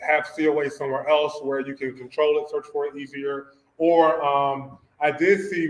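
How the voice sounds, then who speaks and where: A man's fairly high-pitched voice with an American accent and a monotone, flat intonation. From US South. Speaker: cannabis testing lab founder, engineer. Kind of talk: presentation to an audience. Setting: community center event with audience. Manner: fast.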